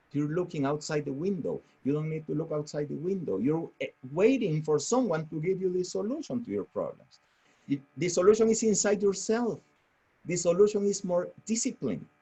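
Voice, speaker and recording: This man's voice sits high in pitch and has lively intonation. He speaks with a strong non-native accent. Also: moderate pace. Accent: strong foreign. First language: Spanish. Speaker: real estate franchise owner. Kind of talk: motivational webinar talk. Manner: halting.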